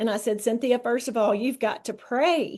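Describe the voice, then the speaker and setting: A dark, mellow voice speaks in a Southern US accent at a moderate pace. Pitch varies in an ordinary way over a quiet background. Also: woman. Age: 60s. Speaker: wellness product promoter. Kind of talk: testimony.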